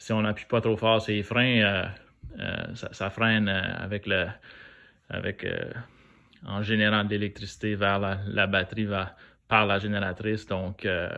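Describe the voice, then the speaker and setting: Fairly low-pitched and fairly slow, a man with a strong New Brunswick accent talks in a monotone, flat way with long, frequent pauses. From New Brunswick, Canada (Acadian). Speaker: DIY car maintenance youtuber. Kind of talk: tutorial. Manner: hesitant, many fillers; casual.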